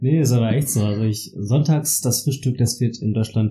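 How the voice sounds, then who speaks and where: A man speaks with a dark, mellow tone. His voice is somewhat breathy, with fairly even intonation. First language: German (speaking Spanish). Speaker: podcast host. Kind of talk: casual chat.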